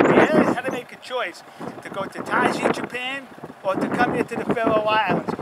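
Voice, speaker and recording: There is noticeable background noise as a man with an American accent and an extremely high pitch speaks at a moderate pace. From USA. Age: 60s. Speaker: activist vlogger. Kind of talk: casual chat. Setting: outdoors. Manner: animated.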